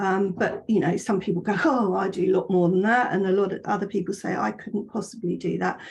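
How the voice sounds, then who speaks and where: Speaking at a fairly quick pace with hardly any pauses, a woman uses a medium pitch marked by vocal fry. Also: fairly even intonation. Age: 60s. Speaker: fitness instructor. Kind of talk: webinar presentation. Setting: online webinar. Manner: conversational, many fillers.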